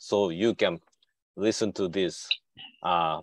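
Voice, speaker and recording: Recorded dry and close with no echo, a man with a Japanese accent speaks at a fairly slow pace. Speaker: symposium MC, professor. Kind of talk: event hosting.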